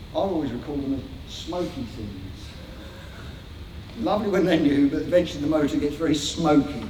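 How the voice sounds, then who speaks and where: Amid noticeable background noise and audible room echo, a man with a fairly high pitch speaks with lively intonation and long, frequent pauses. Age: 60s. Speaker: motorcycling campaigner and guest speaker. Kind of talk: public talk to a meeting; reading bullet points aloud. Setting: event hall with live audience. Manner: halting, with repeated words.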